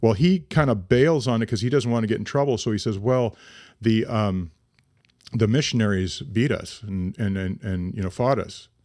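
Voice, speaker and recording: A plain, everyday voice from a man, medium in pitch, with ordinary pitch variation, a moderate pace, and a very clean recording over a silent background. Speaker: podcast host. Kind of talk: casual podcast chat with read-aloud passages. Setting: home studio.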